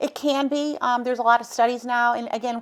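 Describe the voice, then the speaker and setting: At a fairly quick pace, a woman speaks in a plain, everyday voice of fairly high pitch, recorded very cleanly with a silent background. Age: 60s. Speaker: cancer survivor and advocate. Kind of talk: interview.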